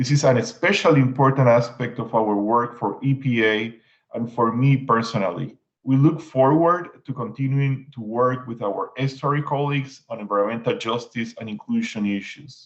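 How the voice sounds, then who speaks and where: This man talks with a Puerto Rican accent at a medium pitch. His pace is moderate and his pitch variation ordinary. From Puerto Rico. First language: Spanish. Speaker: environmental agency official. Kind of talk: prepared panel remarks.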